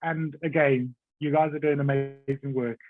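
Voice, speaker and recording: A man speaks with a South African accent. His pitch sits fairly high. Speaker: executive assistant. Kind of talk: podcast interview. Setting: podcast.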